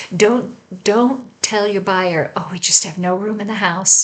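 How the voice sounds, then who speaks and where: A woman at a fairly slow pace, amid noticeable background noise. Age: 60s. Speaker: home staging coach. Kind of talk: tutorial. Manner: conversational, with filler words.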